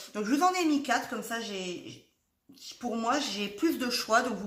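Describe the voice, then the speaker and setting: Lively intonation carries the fairly slow speech, and audible room echo surrounds it. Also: woman. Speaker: tarot card reader. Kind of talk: tarot reading video. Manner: chatty, rambling.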